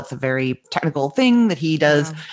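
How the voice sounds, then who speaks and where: A woman speaks in a Canadian accent. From Canada, Winnipeg, Manitoba. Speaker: food blogger and businesswoman. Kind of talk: interview. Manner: open, breezy.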